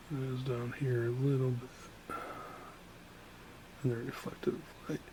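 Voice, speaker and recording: A soft-spoken voice goes at a fairly slow pace with fairly even intonation, with audible room echo and noticeable background noise. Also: man, medium pitch for a man. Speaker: painter and art instructor. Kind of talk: painting demonstration tutorial. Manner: casual, hesitant with fillers.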